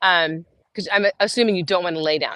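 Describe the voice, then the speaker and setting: With a normal speaking voice, a woman talks fairly quickly and with lively intonation against a quiet background, the sound dry and close with no echo. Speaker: fitness coach. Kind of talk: guided meditation; fitness class instruction. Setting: outdoors. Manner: casual, filler-heavy.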